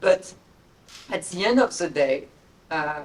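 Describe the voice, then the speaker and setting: A woman with a French accent speaks at a moderate pace in a medium-pitched voice. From France. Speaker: investment executive on a panel. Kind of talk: panel discussion.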